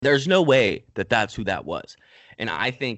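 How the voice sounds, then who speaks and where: At a moderate pace and medium pitch, a man speaks in an ordinary speaking voice. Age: 20s. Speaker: podcast host. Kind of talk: casual chat.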